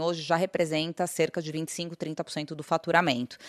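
With a normal speaking voice, a woman talks at a fairly slow pace in a fairly low pitch, the sound dry and close with no echo against a quiet background. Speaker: business executive. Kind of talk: interview.

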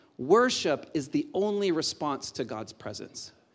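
Against a silent background on a very clean recording, a man speaks in an animated tone. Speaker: pastor. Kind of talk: sermon. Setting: church.

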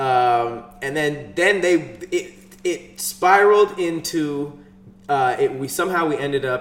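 Through noticeable background noise, a man with an American accent speaks fairly slowly at a fairly high pitch with lively intonation. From Los Angeles. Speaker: podcast co-host. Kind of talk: casual chat.

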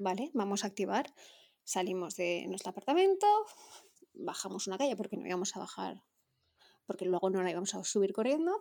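At a fairly quick pace broken by long, frequent pauses, a woman speaks at medium pitch in a dark, mellow tone. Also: ordinary pitch variation. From Valencia region, Spain. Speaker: amateur runner, listener. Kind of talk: anecdote.

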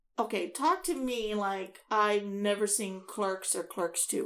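A woman with an American accent speaks at a very slow pace and fairly high pitch. The recording is very clean, with a silent background. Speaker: podcast co-host. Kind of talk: casual chat podcast banter.

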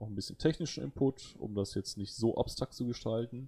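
The recording is very clean, with a silent background. A man speaks in a dark, mellow tone that is somewhat breathy. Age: 30s. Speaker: podcast host, computer scientist. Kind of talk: casual chat. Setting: live stream.

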